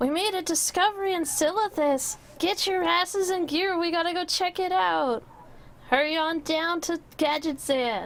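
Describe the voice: Speaking in a put-on character voice, a woman pitches it extremely high. Her pace stays moderate.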